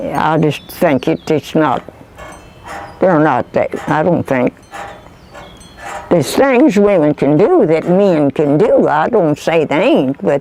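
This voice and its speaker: With a rural Kentucky accent, a woman with a very deep, low pitch speaks very slowly, with long, frequent pauses, lively intonation and very even loudness over noticeable background noise. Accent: rural Kentucky Southern. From US South. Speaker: oral history interviewee. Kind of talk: interview.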